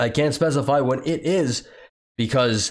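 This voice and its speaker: His pitch varies in an ordinary way. This man's voice sits fairly high. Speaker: political commentary youtuber; factory worker. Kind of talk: commentary reading news with sarcastic asides.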